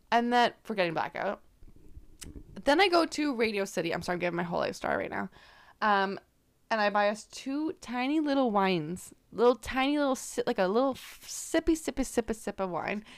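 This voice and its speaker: Fairly quick, fairly high-pitched female voice with a Canadian accent and very wide pitch swings. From Canada. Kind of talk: casual chat. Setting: outdoors. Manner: giggly, joking.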